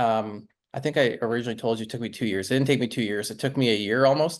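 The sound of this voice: A man speaks at a fast pace with fairly even intonation. His pitch is medium.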